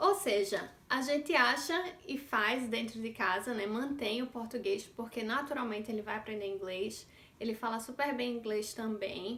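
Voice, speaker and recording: A woman speaks at a fairly high pitch with a northeastern Brazilian accent. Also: ordinary pitch variation, moderate pace. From Northeast Brazil. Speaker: vlogger mother. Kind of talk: casual vlog monologue.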